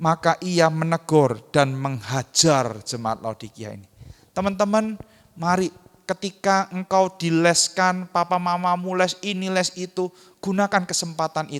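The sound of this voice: A high-pitched man with a strong Javanese accent, at a fairly slow pace with big swings in loudness, in a dry, close sound with no echo. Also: lively intonation. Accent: thick Javanese.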